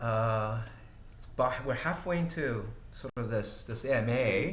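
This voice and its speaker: A man's medium-pitched voice, with ordinary pitch variation, comes through audible room echo and noticeable background noise. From Brazil, São Paulo. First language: Portuguese. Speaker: tech company CEO. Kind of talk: livestream Q&A. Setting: livestream. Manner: halting, many fillers.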